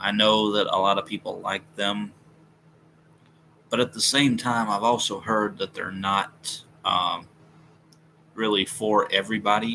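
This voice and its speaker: A man with a fairly low pitch speaks fairly slowly in a flat monotone, leaving long, frequent pauses. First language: not English. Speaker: music YouTuber live streamer. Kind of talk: casual live stream chat. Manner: halting, pauses often; stumbles over words.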